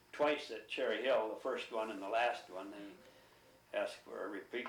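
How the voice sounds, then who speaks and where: A man with a Midwestern American accent at a moderate pace, with audible room echo. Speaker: oral history interviewee. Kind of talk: oral history interview.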